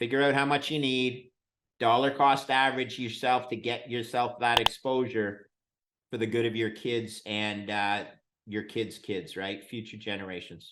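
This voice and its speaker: A plain, everyday voice from a man, medium in pitch, at a moderate pace with fairly even intonation. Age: 60s. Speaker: bitcoin fund manager. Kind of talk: interview.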